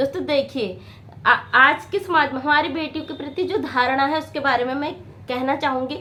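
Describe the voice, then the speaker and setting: A woman's high, raised, projected voice at a fairly slow pace, with ordinary pitch variation. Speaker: motivational video maker. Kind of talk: motivational talk to camera. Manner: halting.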